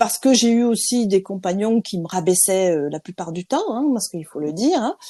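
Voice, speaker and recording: Lively intonation at a moderate pace, in a dry, close sound with no echo. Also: woman. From France. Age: 50s. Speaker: interviewee, insurance trainer. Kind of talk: interview. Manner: hesitant, many fillers.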